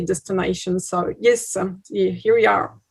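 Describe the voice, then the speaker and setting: Speaking at a moderate pace, a woman with a French accent uses a medium pitch. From France, Bordeaux. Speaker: tourism promoter. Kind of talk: webinar presentation. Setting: video call webinar. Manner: halting, many fillers.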